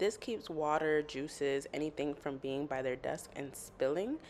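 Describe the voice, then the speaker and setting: This woman's voice sits at a very deep, low pitch. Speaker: elementary school teacher. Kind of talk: vlog; phone call with parent.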